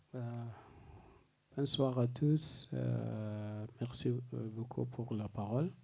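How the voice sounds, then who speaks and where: A man with a dark, mellow, somewhat breathy voice speaks at a very slow pace with long, frequent pauses. His intonation is fairly even, and audible room echo surrounds him. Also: medium pitch for a man. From Sudan. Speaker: lawyer and writer. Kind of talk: conference speech. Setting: press conference. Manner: halting.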